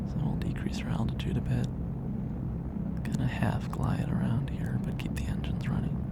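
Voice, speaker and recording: A man whispering in a calm, relaxed tone at a moderate pace, hardly any pauses, over noticeable background noise. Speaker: ASMR creator. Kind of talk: soft-spoken ASMR tour narration. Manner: soft-spoken.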